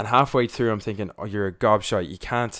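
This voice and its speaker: Here a man talks at a very fast pace with a Dublin accent. His pitch is fairly low. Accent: Dublin Irish. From Ireland, Dublin. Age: 20s. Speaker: youtuber. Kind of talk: podcast interview. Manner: animated.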